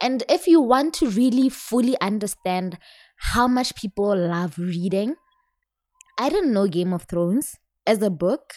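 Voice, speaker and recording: A woman with a Botswana accent speaks at a fairly slow pace in a dark, mellow tone with very wide pitch swings. The sound is dry and close, with no echo. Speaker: guest reader and writer. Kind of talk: reading aloud and casual chat.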